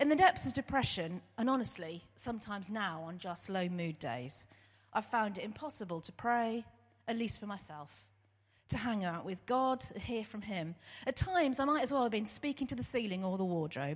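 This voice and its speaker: A woman with an English accent speaks at a medium pitch with very wide pitch swings. The background is quiet. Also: moderate pace. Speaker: church worker and theology student. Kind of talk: testimony. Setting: church service.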